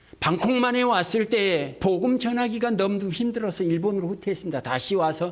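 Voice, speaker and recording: With audible room echo, a man speaks at a fairly quick pace. His intonation is lively. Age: 60s. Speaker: missionary. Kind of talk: sermon.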